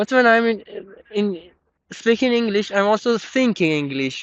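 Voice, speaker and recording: Lively intonation with a Persian accent. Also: man. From Iran. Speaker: podcast host. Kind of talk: casual chat. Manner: halting.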